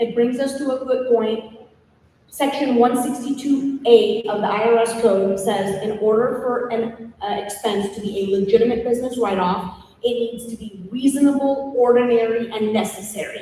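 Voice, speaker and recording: A woman's fairly high voice at a moderate pace with fairly even intonation, amid noticeable background noise and audible room echo. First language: not English. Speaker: tax strategist and podcast host. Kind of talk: podcast interview, explaining tax rules. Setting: live at a conference event.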